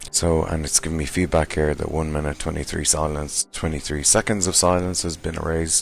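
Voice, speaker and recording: With hardly any pauses, a man talks in a very deep, low pitch and monotone, flat intonation over noticeable background noise. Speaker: software tutorial maker. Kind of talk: tutorial. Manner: hesitant with fillers.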